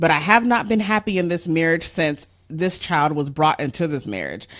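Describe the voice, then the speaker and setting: At a moderate pace and with ordinary pitch variation, a woman talks. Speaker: relationship counselor and podcast host. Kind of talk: advice podcast, reading a listener letter. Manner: playful, animated.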